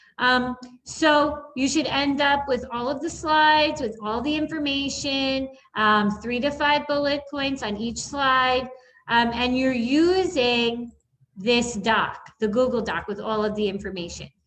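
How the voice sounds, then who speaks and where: A woman with a high pitch speaks at a fairly slow pace amid audible room echo. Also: ordinary pitch variation. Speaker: elementary school teacher. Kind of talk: recorded online lesson tutorial. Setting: screen-share video recording.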